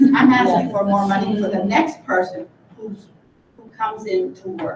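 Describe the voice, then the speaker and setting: Words arrive at a moderate speed. Background noise is noticeable throughout. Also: woman. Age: 80s+. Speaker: retired teacher and substitute teacher. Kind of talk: public comment at a school board meeting.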